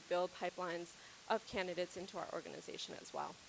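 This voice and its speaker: Medium-pitched female voice, fairly quick in pace. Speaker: healthcare diversity and inclusion strategist. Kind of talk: conference presentation. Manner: loud.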